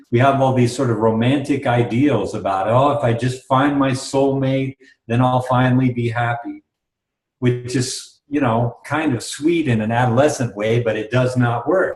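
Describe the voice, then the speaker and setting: A man with an American accent talks at a moderate pace in a medium-pitched, somewhat breathy voice, his intonation fairly even. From US. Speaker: workshop leader. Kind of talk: interview.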